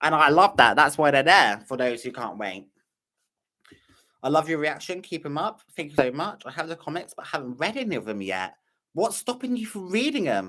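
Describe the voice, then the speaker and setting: At a moderate pace, a man with a fairly high pitch and a bright, sharp tone shows very wide pitch swings, big swings in loudness and vocal fry. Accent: British. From Britain. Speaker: reaction youtuber. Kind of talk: live stream chat. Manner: casual, hesitant.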